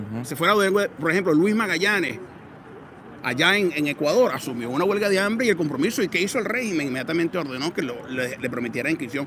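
A man's high, lively voice at a very fast pace, dry and echo-free, with noticeable background noise. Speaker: activist. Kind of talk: interview answer at rally. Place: street. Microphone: handheld.

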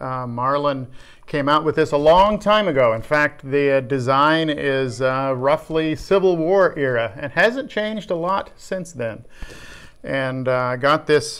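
The speech moves at a fairly slow pace. Pitch varies in an ordinary way. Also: man. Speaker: workshop vlogger. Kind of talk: casual vlog chat. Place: workshop. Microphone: phone near.

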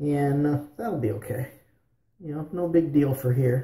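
A man talks with a dark, mellow, somewhat breathy tone and ordinary pitch variation, with audible room echo around him. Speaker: shaving vlogger. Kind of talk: casual vlog chat. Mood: relaxed, friendly. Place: bathroom. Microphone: phone near.

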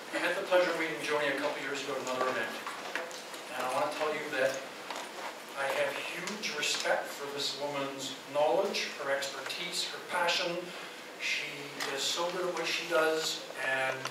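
Amid audible room echo and loud background noise, a man talks at a moderate pace with long, frequent pauses. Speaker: event host introducing the speaker. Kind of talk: speaker introduction. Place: hall. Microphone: camera far.

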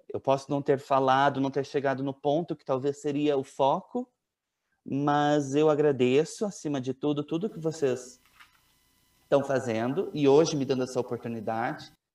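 A man's fairly high voice moves along at a moderate speed. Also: fairly even intonation, big swings in loudness. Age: 20s. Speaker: family member of a missing child, giving testimony. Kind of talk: tearful, grieving testimony about his missing brother and late father. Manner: emotional, halting, voice breaking with sorrow. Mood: earnest, sorrowful. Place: home room. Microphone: earbuds.

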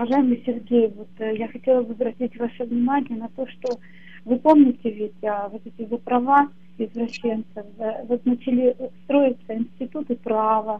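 Her voice high for a woman, she speaks at a moderate pace with fairly even intonation. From Russia. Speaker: caller. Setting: phone call.

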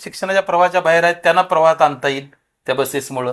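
This man's voice has ordinary pitch variation. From Maharashtra, Solapur district (Natepute). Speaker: local politician and social worker. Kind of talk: interview. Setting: party office.

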